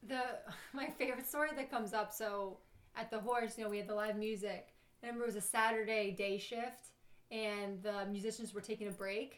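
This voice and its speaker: A woman with a New York accent speaks at a fairly high pitch. Her pace is fairly quick and her intonation fairly even. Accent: New York (Staten Island). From New York, Staten Island. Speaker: bartender. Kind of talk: casual chat, storytelling.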